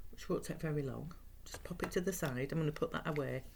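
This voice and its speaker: Her voice is very deep and low for a woman and somewhat breathy. She moves at a fairly quick pace with lively intonation. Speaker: craft instructor. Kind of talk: tutorial. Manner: relaxed.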